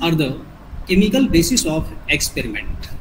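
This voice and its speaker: Someone speaks with an Indian accent over noticeable background noise. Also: man. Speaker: biology teacher trainer. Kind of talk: lecture. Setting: video call. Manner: formal.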